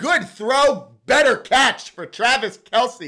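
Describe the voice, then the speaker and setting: An animated, excited voice with a bright, sharp tone, raised and projected, with very wide pitch swings, in a very clean recording with a silent background. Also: man. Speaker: sports streamer doing play-by-play. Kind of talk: live commentary.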